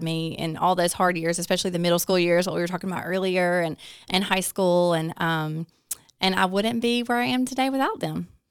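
Someone speaks with a Southern US accent on a very clean recording with a silent background. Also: woman. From north Alabama (Hartselle). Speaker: small business manager. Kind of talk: interview.

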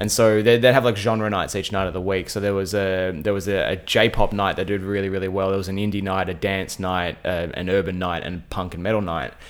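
A man's fairly low voice at a fairly quick pace, with fairly even intonation and hardly any pauses. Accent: Australian. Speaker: radio host. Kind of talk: casual interview chat. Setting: home. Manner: fast talker.

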